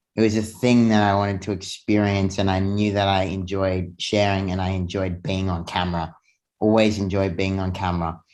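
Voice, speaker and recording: A man talks at a fairly quick pace with a fairly low pitch and monotone, flat intonation. The background is quiet. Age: 20s. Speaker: fitness and self-development influencer. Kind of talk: casual interview. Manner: halting with frequent fillers.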